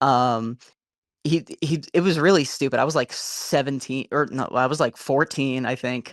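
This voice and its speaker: On a very clean recording with a silent background, a man speaks at medium pitch and a moderate pace with fairly even intonation, the sound dry and close with no echo. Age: 20s. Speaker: caller, restaurant server. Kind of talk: casual chat.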